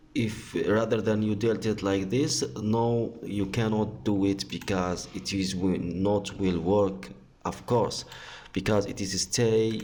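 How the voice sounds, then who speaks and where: A man's dark, mellow tone at a fairly low pitch, delivered at a very slow pace. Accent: non-native. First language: not English. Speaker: tech tutorial youtuber. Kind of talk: tutorial. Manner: halting.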